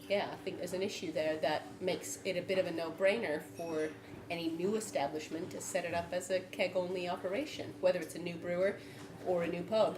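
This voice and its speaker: Speaking at a fairly quick pace with an American accent, a woman is heard over noticeable background noise and audible room echo. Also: fairly low pitch for a woman, fairly even intonation. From United States. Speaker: brewer, panel member. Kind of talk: panel debate. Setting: live event with audience.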